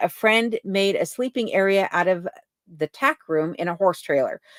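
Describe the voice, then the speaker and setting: A woman with an American accent speaks in a normal speaking voice at a medium pitch and moderate pace, in a dry, close sound with no echo. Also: very clean recording, silent background. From Colorado. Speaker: livestream host, cabin dweller. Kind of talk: casual livestream chat reading viewer comments. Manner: conversational with fillers.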